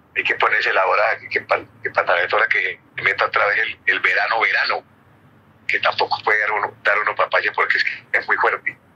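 Noticeable background noise fills the clip. Over it, a man speaks at a fairly quick pace. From Colombia. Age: 70s. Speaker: former footballer and youth coach. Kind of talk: interview answer.

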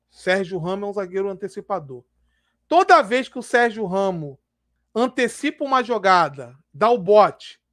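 Moderate pace from a man against a quiet background. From Brazil. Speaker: football YouTuber. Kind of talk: live stream commentary. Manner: casual, slangy. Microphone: headset.

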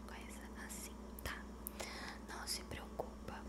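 Loud background noise runs under the clip. Over it, a woman talks very slowly. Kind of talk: soft ASMR role-play talk. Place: home room. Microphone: studio mic.

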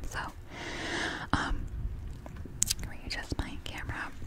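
Loud background noise sits behind a woman talking at a moderate pace. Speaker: ASMR creator. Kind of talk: ASMR personal facts talk. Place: home room. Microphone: studio mic.

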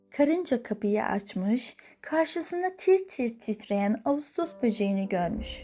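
With music in the background, a woman speaks at a very slow pace, her pitch swinging very widely. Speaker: voice-over narrator. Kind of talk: children's fairy tale reading.

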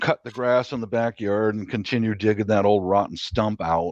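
A man at a moderate pace, with dry sound, no echo and a quiet background. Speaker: gardener on a livestream. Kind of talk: casual chat. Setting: video call livestream. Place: home room. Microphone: video call.

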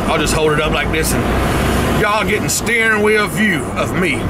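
Loud background noise fills the clip. A man speaks with ordinary pitch variation. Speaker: vlogger. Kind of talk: casual vlog chat. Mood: relaxed, joking. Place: car.

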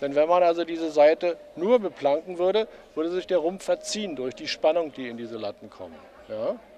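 A man with a high pitch talks at a fairly quick pace with big swings in loudness. The sound is dry with no echo, over light background noise. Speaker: ship model builder. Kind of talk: explaining a craft in interview. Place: hall. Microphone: handheld.

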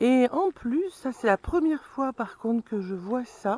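The voice has a dark, mellow tone and lively intonation at a very slow pace. The sound is dry, with no echo. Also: woman. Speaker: vlogger living in a camper van. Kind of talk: casual vlog chat. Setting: outdoors near camper van, filming herself. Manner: casual, chatty. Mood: cheerful, relaxed. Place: open country. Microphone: phone near.

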